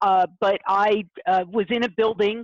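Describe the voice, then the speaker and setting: A woman with a plain, everyday voice speaks at medium pitch with fairly even intonation over a quiet background. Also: dry, close sound with no echo. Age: 60s. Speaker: print industry consultant and writer. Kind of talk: interview on a video call webinar. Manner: frequent fillers, uh and um.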